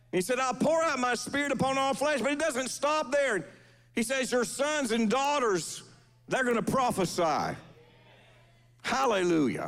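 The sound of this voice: A man speaks at a fairly slow pace with extremely high pitch, a fairly bright tone, vocal fry and big pitch swings.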